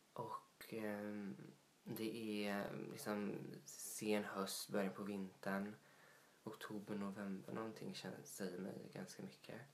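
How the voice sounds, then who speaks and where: Amid audible room echo and noticeable background noise, a man speaks at a very slow pace with a fairly low pitch and ordinary pitch variation. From Småland, Sweden (Vetlanda). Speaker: podcast co-host. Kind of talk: casual chat.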